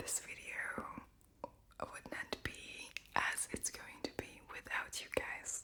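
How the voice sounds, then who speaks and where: Whispered words come very slowly, with noticeable background noise behind them. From Latvia. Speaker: ASMR creator. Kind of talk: whispered Q&A. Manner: whispering.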